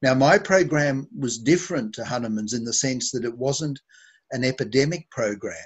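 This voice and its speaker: Somewhat breathy and medium in pitch, a man with an Australian accent talks at a moderate pace with ordinary pitch variation. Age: 70s. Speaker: homeopath. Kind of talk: interview. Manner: halting.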